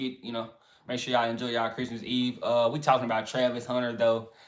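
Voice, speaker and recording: This is a man speaking in a Southern accent. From US South. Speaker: sports commentary livestreamer. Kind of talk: casual livestream chat. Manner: relaxed, filler-heavy.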